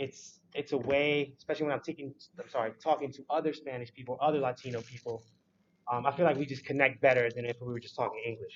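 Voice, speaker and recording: A man with an American accent and a plain, everyday voice, fairly high in pitch, with fairly even intonation and a fairly quick pace. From Prince George's County, Maryland. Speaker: university student. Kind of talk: panel discussion.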